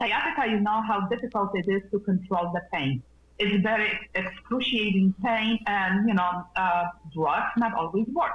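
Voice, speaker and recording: A woman speaks at medium pitch with very even loudness. Noticeable background noise is present. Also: ordinary pitch variation, moderate pace. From Poland. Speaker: nurse and wellness practitioner. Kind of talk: interview. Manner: animated.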